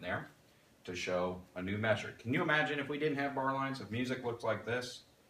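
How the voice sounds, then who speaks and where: A man talks with lively intonation. There is noticeable background noise and audible room echo. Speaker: music teacher. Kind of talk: tutorial.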